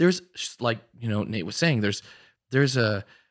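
A man's ordinary speaking voice, medium in pitch, with lively intonation, in a dry, close sound with no echo and a very clean recording over a silent background. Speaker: Dungeons and Dragons player and musician.

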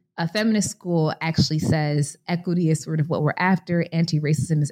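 A woman with an American accent speaks at a moderate pace in a very deep, low pitch with a dark, mellow tone. Her voice is somewhat breathy with ordinary pitch variation, and the sound is dry and close with no echo. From US Midwest, Chicago. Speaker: author and scholar. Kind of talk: interview.

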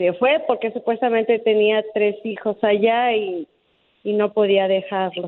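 A woman's unremarkable speaking voice at a fairly slow pace, with fairly even intonation and very even loudness. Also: fairly high pitch for a woman. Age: 40s. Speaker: caller looking for a partner. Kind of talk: radio call-in chat.

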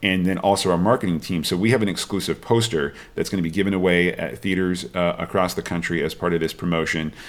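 In a very clean recording with a silent background, a man with an American accent talks very fast with hardly any pauses, his very deep, low voice keeping a fairly even intonation. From Washington state, US. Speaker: film studio executive. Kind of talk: interview. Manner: halting, many fillers and repeated words.

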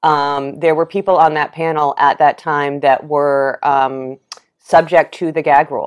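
A woman with an American accent speaks at a fairly slow pace in a very deep, low pitch and monotone, flat intonation, with a dry, close sound with no echo and a quiet background. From New York City. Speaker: journalist and AIDS activist. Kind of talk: interview conversation. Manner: engaging, welcoming yet uncompromising.

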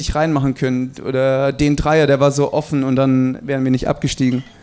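Fairly high in pitch, a man talks at a moderate pace. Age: 20s. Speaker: basketball player. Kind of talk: live podcast interview. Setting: live audience in a restaurant.

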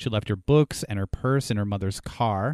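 In a dry, close recording with no echo, a man speaks with a normal speaking voice at a moderate pace, with ordinary pitch variation. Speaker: podcast co-host. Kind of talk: casual discussion of a true crime case. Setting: video call, remote.

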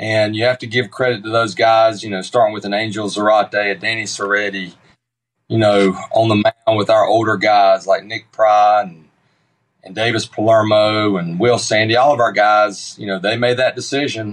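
Speaking in a flat monotone with a Southern US accent, a man at a fairly low pitch shows big swings in loudness. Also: moderate pace. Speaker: baseball coach. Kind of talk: radio interview.

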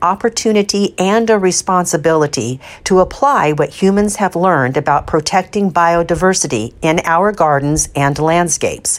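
In an unremarkable speaking voice, a woman speaks at a fairly low pitch with lively intonation. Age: 50s. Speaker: gardening columnist and podcast host. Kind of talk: scripted narration. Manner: measured, read from a script.

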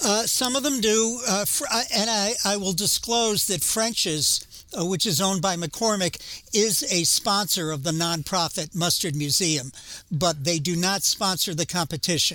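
Projecting a raised voice with a New England accent, a man speaks high for a man, with lively intonation. His pace is moderate and his loudness very even. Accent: New England American. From Massachusetts. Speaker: museum curator and former lawyer. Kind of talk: interview.

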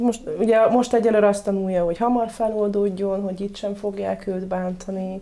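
Over noticeable background noise, the speech runs on with hardly any pauses in a monotone, flat intonation. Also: woman, medium pitch for a woman, moderate pace. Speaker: dog trainer. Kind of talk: casual interview.

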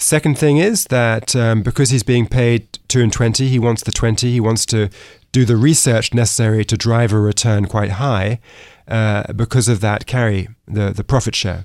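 The speaker talks at a moderate pace with an American accent. The intonation stays fairly even. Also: man, medium pitch for a man. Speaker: author and economics fellow. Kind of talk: interview.

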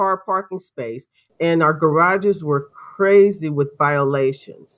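A woman with an ordinary speaking voice talks at a fairly slow pace, her pitch varying in an ordinary way. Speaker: homeowners association representative. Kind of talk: courtroom testimony.

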